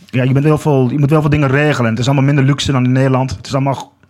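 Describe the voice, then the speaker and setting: A man with a fairly high pitch, speaking at a very fast pace. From Achterhoek, Netherlands (Groenlo). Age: 30s. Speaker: walker and commemoration campaigner. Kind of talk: podcast interview. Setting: studio.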